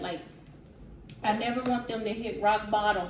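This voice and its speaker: Through noticeable background noise and audible room echo, a woman speaks at a fairly high pitch and moderate pace. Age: 20s. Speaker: vlogger. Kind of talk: casual Q&A vlog.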